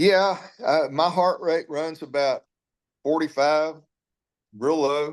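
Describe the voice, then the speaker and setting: With a Texan accent, a man speaks at a very slow pace with long, frequent pauses, fairly high pitch and fairly even intonation, over a quiet background. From Texas, Alvin near Houston. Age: 60s. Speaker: former cattle rancher, animal sanctuary founder. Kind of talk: interview.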